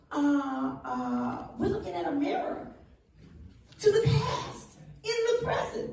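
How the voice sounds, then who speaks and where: A woman talks very slowly with an American accent, taking long, frequent pauses. Room echo is audible around her voice. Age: 70s. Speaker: reparations advocate. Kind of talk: panel discussion.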